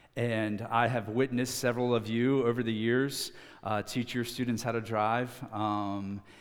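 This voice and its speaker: With an American accent, a man at medium pitch speaks with fairly even intonation amid audible room echo. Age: 30s. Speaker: student pastor. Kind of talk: sermon. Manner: hesitant, many fillers.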